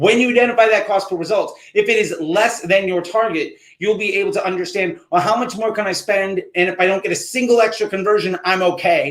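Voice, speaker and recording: Hardly pausing, a man talks at a fairly quick pace in a high pitch. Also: ordinary pitch variation. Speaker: marketing instructor. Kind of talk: live Q&A stream. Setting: livestream. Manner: fast; casual.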